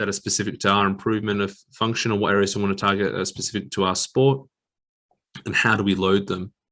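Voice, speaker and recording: This man talks at a fairly quick pace in an Australian accent, mumbling in a bright, sharp tone at a fairly low pitch. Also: very clean recording, silent background. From Western Australia. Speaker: exercise physiologist. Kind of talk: lecture.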